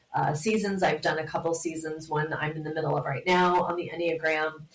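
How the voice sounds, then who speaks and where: A woman speaks with fairly even intonation. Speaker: podcaster and Enneagram coach. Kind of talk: casual interview chat.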